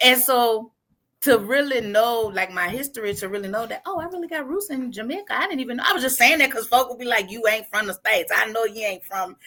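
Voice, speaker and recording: A woman with an American accent speaks in a high, bright, sharp voice at a fairly quick pace, animated and with lively intonation. Her loudness swings a lot. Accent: sounds New Orleans to others. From Cleveland, US. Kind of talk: casual interview chat.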